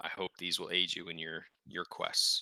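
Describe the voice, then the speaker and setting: In a put-on character voice that is raspy, a man speaks at a moderate pace, the sound dry and close with no echo. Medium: actual play. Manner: polite, hesitant.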